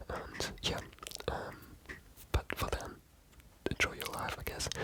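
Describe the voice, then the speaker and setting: Noticeable background noise surrounds a woman who whispers very slowly. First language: not English. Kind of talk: ASMR book discussion, whispered storytelling to camera. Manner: soft, hesitant, rambling.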